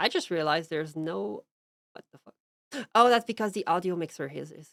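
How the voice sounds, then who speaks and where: A woman with a Quebec accent speaks at a moderate pace, her pitch fairly low and her intonation lively. The recording is very clean with a silent background, and the sound is dry and close with no echo. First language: French. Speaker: streamer. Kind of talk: casual chat; reading aloud. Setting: live stream.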